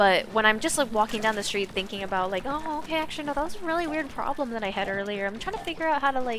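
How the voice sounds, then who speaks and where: A woman talks at a very fast pace with hardly any pauses, her pitch fairly high and her intonation lively. Noticeable background noise runs underneath. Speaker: streamer. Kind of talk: casual chat. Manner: animated.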